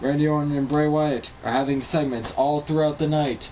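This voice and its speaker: Music sits in the background behind a man's voice. He speaks at a fairly high pitch with monotone, flat intonation. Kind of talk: casual wrestling recap talk.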